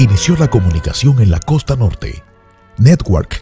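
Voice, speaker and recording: Music plays in the background as a man at a medium pitch talks at a fairly slow pace with very wide pitch swings, the sound dry and close with no echo. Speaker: radio announcer and host. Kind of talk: radio-style tribute narration.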